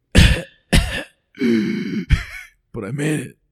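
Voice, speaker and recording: A raspy, put-on character voice from a man, pitched fairly high. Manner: relieved, triumphant.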